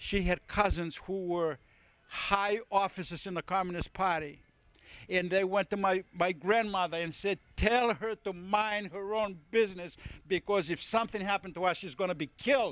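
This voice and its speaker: A man with a high voice talks at a moderate pace and fairly even intonation, in a dry, close sound with no echo on a very clean recording with a silent background. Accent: Greek. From Greece. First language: Greek. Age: 70s. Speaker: family member giving a speech. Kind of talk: speech at a family birthday party. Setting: party with guests. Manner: halting with many repetitions.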